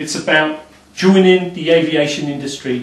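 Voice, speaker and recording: Audible room echo around a male speaker. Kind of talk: casual explanatory talk. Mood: enthusiastic, upbeat. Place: office. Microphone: camera far.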